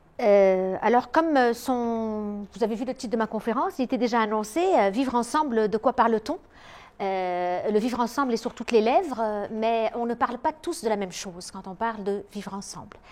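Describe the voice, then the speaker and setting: The speech moves at a moderate pace with hardly any pauses, ordinary pitch variation and big swings in loudness. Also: woman, fairly high pitch for a woman. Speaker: psychologist and lecturer. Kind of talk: lecture. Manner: hesitant, many filler sounds.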